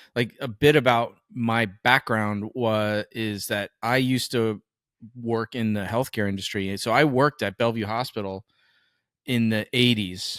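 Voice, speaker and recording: In a very clean recording with a silent background and a dry, close sound with no echo, a man talks at a fairly slow pace with medium pitch and fairly even intonation. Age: 50s. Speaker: podcast co-host, filmmaker. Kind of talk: casual interview chat. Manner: halting, self-correcting.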